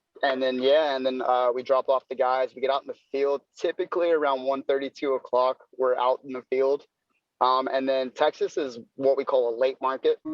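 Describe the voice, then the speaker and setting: A man's medium-pitched voice in monotone, flat intonation at a moderate pace. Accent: American. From North Carolina. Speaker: door-to-door salesman. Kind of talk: podcast interview. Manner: casual, filler-heavy.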